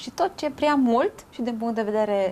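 Light background noise sits behind a woman speaking fairly slowly. Her fairly high pitch moves in very wide swings. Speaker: nutritionist. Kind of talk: casual chat. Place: home room. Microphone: lapel.

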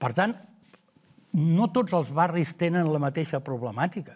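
Against a quiet background, a man speaks at a fairly slow pace in a somewhat breathy voice with lively intonation. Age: 70s. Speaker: local election candidate; election candidate. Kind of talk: interview; interview answer. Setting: studio. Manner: halting. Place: studio. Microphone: lapel.

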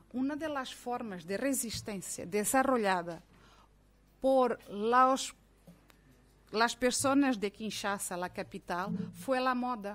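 In a Portuguese accent, a woman with a fairly high pitch speaks at a very slow pace with long, frequent pauses and ordinary pitch variation. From Mozambique. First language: Portuguese (speaking Spanish). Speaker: academic; speaker. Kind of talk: panel debate. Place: meeting room. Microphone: podium.

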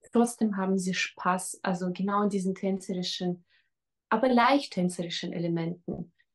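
Against a quiet background, a woman talks at a moderate pace with fairly even intonation and a somewhat breathy voice. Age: 40s. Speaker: fitness trainer. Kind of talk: testimonial interview. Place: home room. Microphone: webcam.

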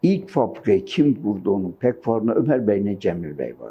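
A fairly low-pitched male voice with vocal fry and very wide pitch swings. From Gaziantep, Turkey. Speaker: retired yarn maker and weaver. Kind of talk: oral history interview answer.

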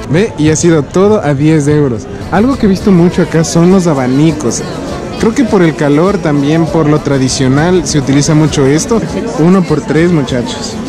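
Clear music plays behind a man speaking at a moderate pace with ordinary pitch variation, the sound dry with no echo. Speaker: travel vlogger. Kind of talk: casual vlog chat. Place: market. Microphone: phone near.

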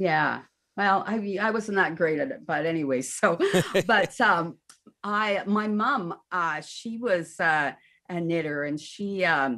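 A woman talks at a very slow pace with lively intonation and a bright, sharp tone. The background is quiet. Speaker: remote interview guest. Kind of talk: interview answer. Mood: warm, laughing. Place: home room.

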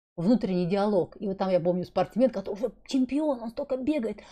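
Against a quiet background, a woman talks at a fairly quick pace with a dark, mellow tone and lively intonation. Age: 50s. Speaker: wellness blogger. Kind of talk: vlog monologue. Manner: casual, rambling. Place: home room. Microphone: studio mic.

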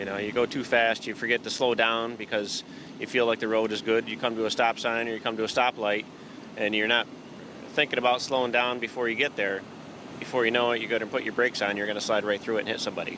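A man talks at a very fast pace with monotone, flat intonation, the sound dry with no echo and noticeable background noise. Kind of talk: interview answer. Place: car. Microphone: handheld.

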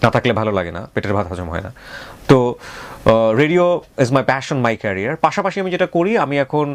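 There is noticeable background noise behind a man's voice. His pitch sits in the medium range but makes very wide swings. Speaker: radio host. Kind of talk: interview.

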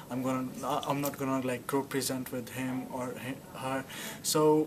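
A man with a Pakistani accent, fairly high pitch and fairly even intonation at a fairly slow pace, over noticeable background noise. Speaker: international student. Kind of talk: testimonial interview. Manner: hesitant, filler words. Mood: positive, relaxed.

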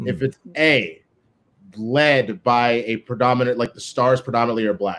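A man with an American accent, moderate pace and ordinary pitch variation. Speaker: co-manager of a competitive team; guest. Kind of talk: live-streamed panel discussion. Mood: serious, earnest. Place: home room. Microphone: video call.

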